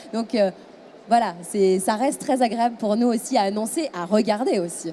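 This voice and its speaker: A woman with a fairly high pitch and ordinary pitch variation speaks over noticeable background noise. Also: moderate pace. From France. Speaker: radio host. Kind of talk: casual interview. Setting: event venue, on camera. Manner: hesitant, many fillers.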